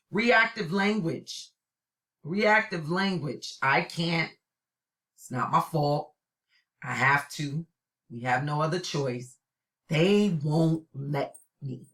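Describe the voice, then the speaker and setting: Speaking with a New York accent, a woman with a very deep, low pitch talks at a very slow pace, with long, frequent pauses, lively intonation and big swings in loudness. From New York City (Brooklyn). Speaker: college instructor. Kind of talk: recorded lecture. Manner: animated.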